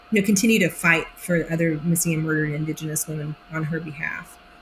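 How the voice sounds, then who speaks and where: A woman with an American accent speaks at a fairly quick pace and a fairly low pitch while music plays in the background. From Oklahoma (Idabel). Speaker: actress. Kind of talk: interview. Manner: animated.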